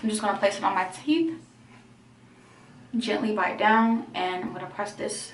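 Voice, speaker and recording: Over noticeable background noise and audible room echo, a woman at a medium pitch speaks with lively intonation at a moderate pace, taking long, frequent pauses. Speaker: vlogger. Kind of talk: tutorial.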